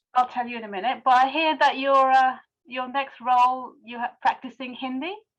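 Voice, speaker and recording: Her voice high, a woman speaks at a moderate pace with ordinary pitch variation and big swings in loudness. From Pakistan. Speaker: fan on video call. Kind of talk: casual chat. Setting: video call.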